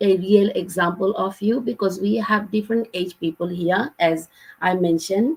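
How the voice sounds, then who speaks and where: Ordinary pitch variation in a somewhat breathy, medium-pitched female voice. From Bangladesh. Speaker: online business mentor. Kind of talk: live Q&A session. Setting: livestream.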